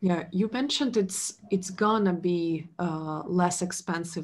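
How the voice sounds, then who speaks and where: Against a quiet background, a woman speaks very slowly in a fairly low, somewhat breathy voice. Her pitch shows ordinary variation. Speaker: podcast host, sustainability consultant; podcast host. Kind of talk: interview. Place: home room. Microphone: webcam.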